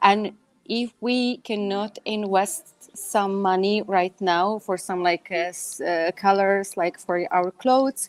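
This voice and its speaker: A woman's medium-pitched voice with a non-native accent, very slow yet with hardly any pauses, fairly even intonation, dry and close with no echo. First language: not English. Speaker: image consultant and stylist. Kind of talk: live panel talk show. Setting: live video stream. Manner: halting, many fillers.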